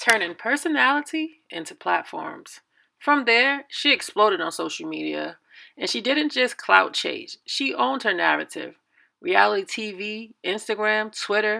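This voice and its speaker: Someone with an American accent speaks at a fairly slow pace. The recording is very clean, with a silent background. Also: woman. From New York, Red Hook, Brooklyn. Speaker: YouTuber, commentary host. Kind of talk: video commentary, casual storytelling.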